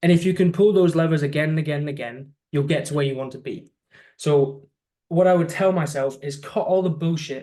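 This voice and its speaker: Speaking with a British accent, a man uses a dark, mellow tone and fairly high pitch at a fairly quick pace, with fairly even intonation. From UK. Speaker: social media agency owner. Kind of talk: interview.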